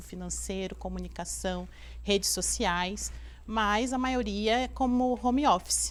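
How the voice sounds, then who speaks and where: A woman speaks with audible room echo. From Rio de Janeiro, Brazil. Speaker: business owner, entrepreneur. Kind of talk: interview.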